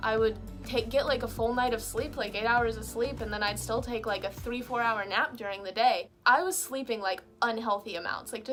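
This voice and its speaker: Music plays in the background as the speaker's animated tone moves with ordinary pitch variation. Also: woman. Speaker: video blogger. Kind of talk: personal vlog talk. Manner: fast.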